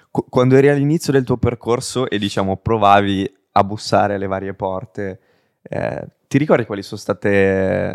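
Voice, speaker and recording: Recorded with a dry, close sound with no echo and a very clean, silent background, a man speaks at a fairly low pitch. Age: 20s. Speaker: podcast host. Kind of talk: casual interview; scripted intro.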